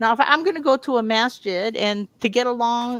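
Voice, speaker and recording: An animated woman with an American accent talks at a moderate pace in a fairly high voice with lively intonation. The recording is very clean and dry, close with no echo and a silent background. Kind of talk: casual chat.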